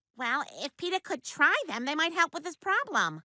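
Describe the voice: A female-sounding, squeaky, cartoonish character voice talks at a moderate pace with an extremely high pitch.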